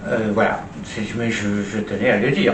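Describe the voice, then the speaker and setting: A man speaks at a very slow pace. There is audible room echo and noticeable background noise. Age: 80s+. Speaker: social commentator, retired stage performer. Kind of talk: opinion monologue. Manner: hesitant, with many fillers and repetitions.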